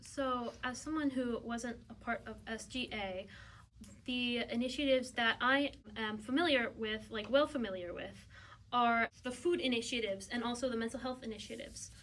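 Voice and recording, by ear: A woman with fairly high pitch and a fairly bright tone shows ordinary pitch variation. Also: moderate pace.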